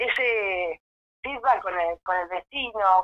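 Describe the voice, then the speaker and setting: A woman speaks at a medium pitch. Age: 40s. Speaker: local politician. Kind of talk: interview.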